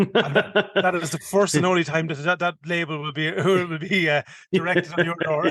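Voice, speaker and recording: With a strong Irish accent, a man talks at a high pitch with fairly even intonation. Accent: strong rural Irish (Kildare). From Ireland, County Kildare. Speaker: podcast co-host, hunter. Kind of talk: casual chat. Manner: fast.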